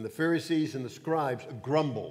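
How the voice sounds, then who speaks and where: Moderate speed and ordinary pitch variation in a man's voice. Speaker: Bible study teacher. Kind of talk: sermon. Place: church.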